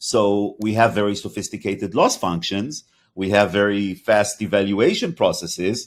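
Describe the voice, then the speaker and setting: A man with a slight Hebrew accent speaks at a moderate pace on a very clean recording with a silent background. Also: fairly low pitch for a man, ordinary pitch variation. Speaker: podcast host, company CEO. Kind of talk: interview conversation. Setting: podcast.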